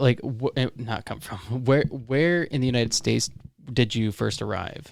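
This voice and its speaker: Delivered at a fairly slow pace with ordinary pitch variation, this is an ordinary speaking voice. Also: man. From Florida. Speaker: podcast host. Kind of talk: interview. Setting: podcast recording.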